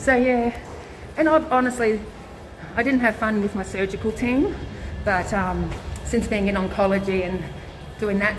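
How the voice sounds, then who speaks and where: A woman with an Australian accent talks at a moderate pace, in a medium pitch with ordinary pitch variation. Audible room echo and noticeable background noise surround her voice. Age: 40s. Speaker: vlogger, cancer patient and nurse. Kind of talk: casual live-stream chat. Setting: hospital, walking through corridors. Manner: loud.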